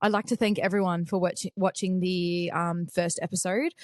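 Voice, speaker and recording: A woman with an Australian accent speaks at a medium pitch, with a dry, close sound and no echo. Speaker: podcast host. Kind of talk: casual chat. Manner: fast.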